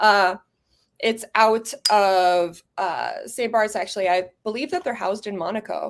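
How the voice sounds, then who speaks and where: A plain, everyday voice from a woman, fairly high in pitch, at a fairly slow pace with ordinary pitch variation, in a very clean recording with a silent background. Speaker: fragrance reviewer. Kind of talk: casual livestream chat.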